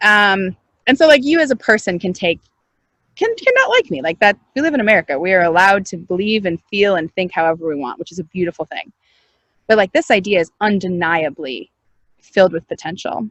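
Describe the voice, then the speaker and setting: A woman talks at a fairly quick pace with a medium pitch. Her tone is animated and her intonation lively. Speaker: startup founder and CEO. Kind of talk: interview. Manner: loud.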